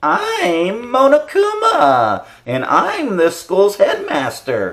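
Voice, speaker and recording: A man puts on a playful character voice, pitched high for a man. He speaks at a very slow pace. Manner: cartoony, playful.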